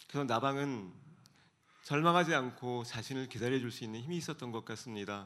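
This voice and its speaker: At a fairly quick pace, a man talks in a bright, sharp tone at medium pitch with ordinary pitch variation. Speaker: author and speaker. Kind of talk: talk show interview with reflective monologue. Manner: thoughtful, formal, measured.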